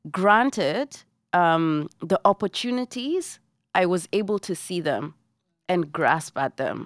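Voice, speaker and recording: In a Kenyan accent, a woman talks at a very slow pace with a medium pitch and lively intonation, in a very clean recording with a silent background and a dry, close sound with no echo. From Kenya, Nairobi. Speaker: singer and actress. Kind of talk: casual chat. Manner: animated.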